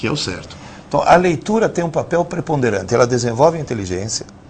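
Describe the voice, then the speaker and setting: Noticeable background noise accompanies a man speaking at a medium pitch and a fairly quick pace. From Italy. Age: 60s. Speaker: professor. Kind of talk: lecture. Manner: animated.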